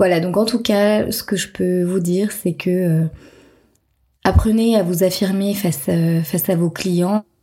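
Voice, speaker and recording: The voice has a dark, mellow tone with a somewhat breathy quality. It moves at a fairly slow pace with fairly even intonation. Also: woman, medium pitch for a woman. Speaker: entrepreneur and podcast host. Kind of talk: solo storytelling podcast. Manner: hesitant, many fillers.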